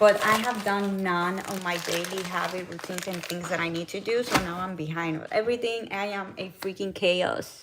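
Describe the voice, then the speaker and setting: The speaker has a Puerto Rican accent and a moderate pace with hardly any pauses. The intonation stays fairly even over noticeable background noise. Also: woman, medium pitch for a woman. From Puerto Rico. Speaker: lifestyle vlogger and wellness coach. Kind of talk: casual live-stream chat while cooking.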